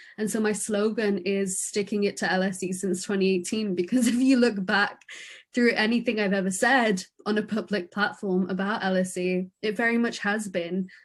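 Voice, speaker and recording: A woman talks at a moderate pace in a medium pitch with fairly even intonation. Her voice is somewhat breathy, and the background is quiet. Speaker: student election candidate. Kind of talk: candidate Q&A answer. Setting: live stream Q&A. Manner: outspoken.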